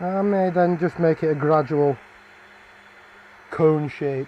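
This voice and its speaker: Speaking with a Barnsley accent, a man talks at a fairly slow pace. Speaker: woodturner. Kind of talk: live stream tutorial. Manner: casual, chatty.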